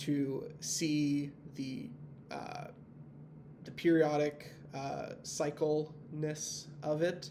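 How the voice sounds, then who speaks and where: A man at a fairly high pitch with monotone, flat intonation, big swings in loudness, a very slow pace, long, frequent pauses, audible room echo, and noticeable background noise. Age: 20s. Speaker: university student. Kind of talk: tutorial. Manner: hesitant, many fillers.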